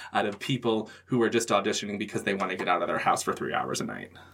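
A plain, everyday voice from a man with an American accent, medium pitch, and fairly even intonation. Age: 30s. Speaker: actor and theater director. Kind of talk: casual chat.

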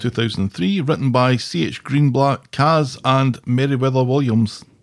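In a Scottish accent, a man talks at medium pitch with ordinary pitch variation on a very clean recording with a silent background. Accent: Scottish, noticeable. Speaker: podcast co-host. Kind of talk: casual chat.

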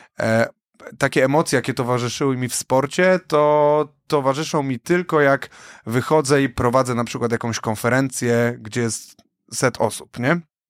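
Over a silent background in a very clean, dry, close recording with no echo, a man speaks at a moderate pace in an unremarkable speaking voice with medium pitch and ordinary pitch variation. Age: young. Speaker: podcast co-host and event host. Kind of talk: casual chat. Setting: studio.

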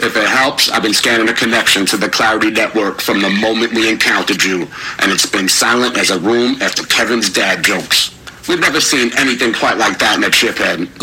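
Over clear background noise, a man does a husky put-on character voice at a medium pitch and a fairly quick pace. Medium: audio drama. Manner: dry, joking.

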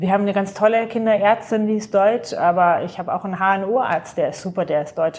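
A woman with a normal speaking voice, fairly even intonation and hardly any pauses. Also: medium pitch for a woman, fairly quick pace. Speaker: podcast host. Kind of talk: casual chat.

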